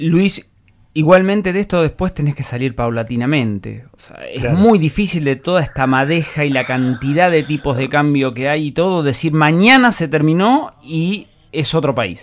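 A man with a fairly high pitch and lively intonation talks at a moderate pace in an unremarkable speaking voice. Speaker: journalist. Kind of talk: interview.

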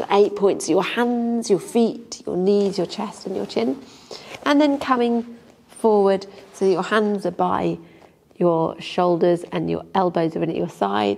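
Someone talks at a fairly slow pace with an English accent. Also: woman. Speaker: yoga teacher. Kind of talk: guided yoga class instruction. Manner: calm, gentle. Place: home room.

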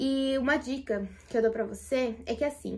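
Pitched high, a woman's voice carries fairly even intonation. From Brazil, Taboão da Serra, São Paulo; São Paulo state, Brazil. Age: 20s. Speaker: YouTuber and cake baker; home baker vlogger. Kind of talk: Q&A vlog. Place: home room. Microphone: phone near.

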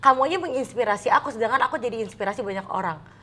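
A woman at a very fast pace, with very wide pitch swings. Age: 30s. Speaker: content creator. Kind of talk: casual chat. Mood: warm, earnest. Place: home room.

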